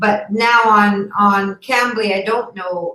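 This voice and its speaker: A woman's medium-pitched, normal speaking voice in a Canadian accent, with fairly even intonation. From Canada. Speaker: online ESL teacher. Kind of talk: casual chat.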